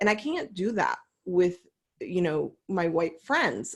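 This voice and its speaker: At a moderate pace, a woman talks in a normal speaking voice at a medium pitch. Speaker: coach, panel host. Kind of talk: panel discussion. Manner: casual, many fillers.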